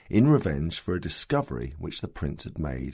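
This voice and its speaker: His very deep, low voice has a dark, mellow tone and vocal fry, and this man talks at a fairly quick pace with lively intonation. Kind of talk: audiobook story reading.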